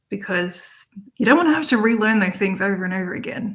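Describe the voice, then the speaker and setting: At a fairly quick pace, a woman with an Australian accent talks in a fairly high pitch. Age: 40s. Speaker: online entrepreneur, busy mom. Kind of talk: interview.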